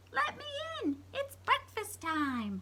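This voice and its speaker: Clear background noise sits behind a woman doing a put-on character voice. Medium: read story. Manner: growling.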